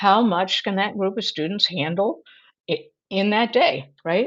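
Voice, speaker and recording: Over a quiet background, a woman in a normal speaking voice talks at a moderate pace and medium pitch, with ordinary pitch variation. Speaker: Montessori educator. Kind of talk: webinar presentation. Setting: webinar.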